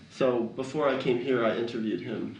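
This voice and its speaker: A man speaks with vocal fry. Audible room echo surrounds the voice. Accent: American. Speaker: documentary filmmaker. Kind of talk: interview. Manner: slow.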